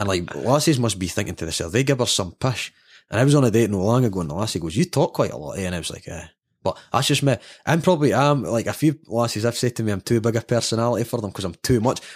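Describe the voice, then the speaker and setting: Speaking very fast with lively intonation, a man of medium pitch with a Scottish accent comes through in a dry, close sound with no echo, a very clean recording over a silent background. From Scotland. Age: 30s. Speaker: football fan sharing life story. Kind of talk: casual interview chat.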